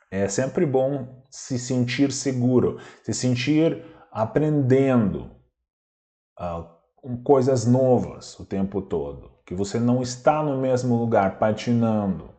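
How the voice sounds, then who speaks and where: Audible room echo surrounds a man speaking very slowly with a dark, mellow tone. His pitch is medium, with ordinary pitch variation. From Belarus. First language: Russian (speaking Portuguese). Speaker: language teacher. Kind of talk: lecture.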